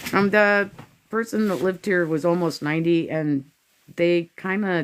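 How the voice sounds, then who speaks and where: A woman with an American accent and an ordinary speaking voice, fairly low in pitch, at a moderate pace with ordinary pitch variation. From US Pacific Northwest. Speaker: house cleanup vlogger. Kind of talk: casual chat.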